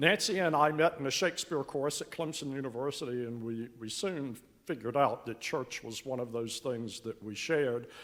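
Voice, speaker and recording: On a very clean recording with a silent background, a man with a Carolinas accent speaks at medium pitch and a moderate pace, with big swings in loudness, ordinary pitch variation and hardly any pauses. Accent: Southern US (Carolinas). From US South, Western Carolinas. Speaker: church member. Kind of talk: testimony. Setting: church.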